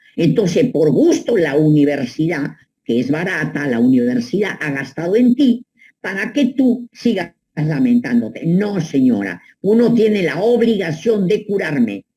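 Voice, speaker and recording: A woman speaks at a fairly low pitch and a fairly slow pace, her pitch swinging very widely. Her voice is somewhat breathy, with a dark, mellow tone. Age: 80s+. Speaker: psychoanalyst. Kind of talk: advice monologue. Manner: animated.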